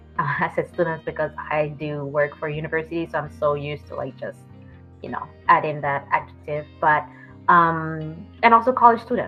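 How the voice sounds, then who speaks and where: A moderate pace and ordinary pitch variation, with music in the background. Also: woman, very deep, low pitch for a woman, big swings in loudness. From France and Miami. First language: French. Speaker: therapist. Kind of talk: interview answers. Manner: hesitant with many fillers.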